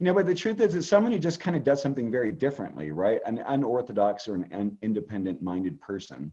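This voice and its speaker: A man speaks at a very fast pace with hardly any pauses, his medium-pitched, dark, mellow voice making very wide pitch swings. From California. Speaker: astrologer. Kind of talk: interview.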